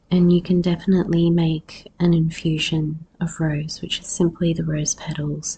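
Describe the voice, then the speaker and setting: Somewhat breathy, a woman with a dark, mellow tone and fairly low pitch speaks at a moderate pace in monotone, flat intonation. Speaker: podcast host, herbalist. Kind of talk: solo podcast talk.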